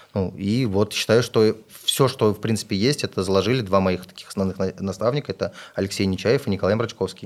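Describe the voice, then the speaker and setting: In a normal speaking voice, a man with a fairly low pitch talks at a fairly quick pace, his intonation fairly even but his loudness swinging widely. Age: 30s. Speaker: entrepreneur and investor. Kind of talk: podcast interview. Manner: casual.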